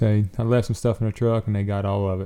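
In a Southern US accent, a man says his lines. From US South. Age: 30s. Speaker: professional bowhunter. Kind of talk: casual chat.

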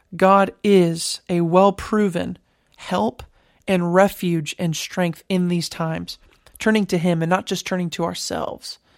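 Fairly low in pitch, a woman speaks in a plain, everyday voice at a fairly slow pace with fairly even intonation, on a very clean recording with a silent background. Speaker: podcast host and Bible teacher. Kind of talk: Bible study teaching, podcast.

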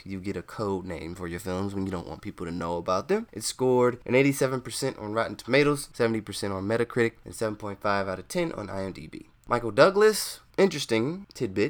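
Hardly pausing, a man with a Southern US accent talks at a fairly quick pace and a fairly low pitch, with lively intonation. His loudness swings a lot, on a very clean recording with a silent background. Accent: Southern US, country. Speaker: movie reviewer. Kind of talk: casual review, video commentary. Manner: casual, jokey.

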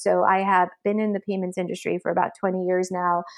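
The speaker talks at a fairly quick pace in a flat monotone, with an American accent. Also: woman. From Massachusetts, Belmont. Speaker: fintech executive. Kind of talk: interview. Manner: frequent fillers (um).

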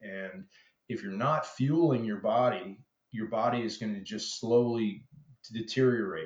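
This is an unremarkable speaking voice. The man talks at a moderate pace. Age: 50s. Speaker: chainsaw carver. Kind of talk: interview.

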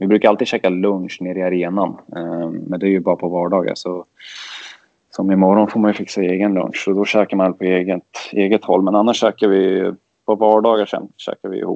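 A man's very deep, low voice, fairly quick and monotone with flat intonation. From Sweden, Örebro. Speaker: ice hockey player. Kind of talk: casual interview.

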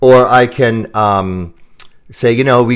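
In an American accent, a man talks at a medium pitch with ordinary pitch variation and a normal speaking voice. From US Midwest, Chicago suburbs. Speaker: keynote speaker and sales author. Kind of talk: interview.

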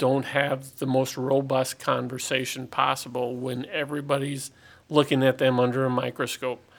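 Using a normal speaking voice, a man talks at a moderate pace. His pitch is medium. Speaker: utility general manager. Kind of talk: casual interview. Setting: studio.

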